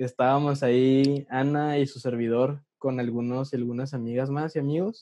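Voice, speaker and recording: A man's dark, mellow tone comes across dry and close, with no echo. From Mexico, Ciudad Juárez, Chihuahua. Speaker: podcast co-host, communications student. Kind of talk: casual chat. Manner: animated.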